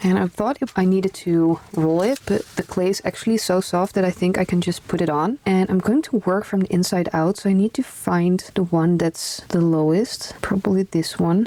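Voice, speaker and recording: Someone with a strong Dutch accent speaks at a moderate pace. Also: woman. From Netherlands. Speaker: craft YouTuber. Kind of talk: tutorial. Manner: casual, conversational.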